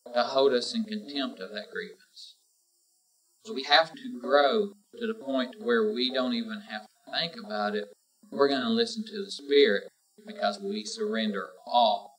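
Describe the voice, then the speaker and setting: A man talks at a moderate pace in a fairly high voice, swinging his pitch very widely. Music plays in the background. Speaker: preacher. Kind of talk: sermon.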